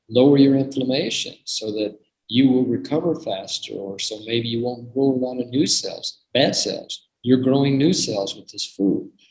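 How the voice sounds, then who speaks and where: His voice is somewhat breathy, a man's at a medium pitch with ordinary pitch variation. He speaks at a moderate pace. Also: big swings in loudness. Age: 70s. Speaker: medical doctor giving product presentation. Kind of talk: online presentation with Q&A. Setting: video call. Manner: animated.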